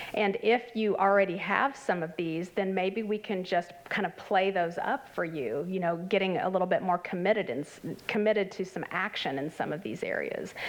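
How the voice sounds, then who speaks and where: A woman at medium pitch with ordinary pitch variation, a moderate pace and hardly any pauses, against noticeable background noise. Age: 50s. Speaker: clinical health psychologist presenting at a conference. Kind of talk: conference presentation. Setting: conference workshop with live audience. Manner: conversational with many fillers.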